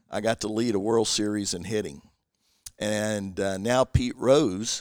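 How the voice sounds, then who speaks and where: A man with a Southern US accent, fairly low in pitch, fairly slow and even in intonation, in a very clean recording with a silent background. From US South (Kentucky). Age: 60s. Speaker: former pro baseball player and missionary. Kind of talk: interview testimony. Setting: guests' living room.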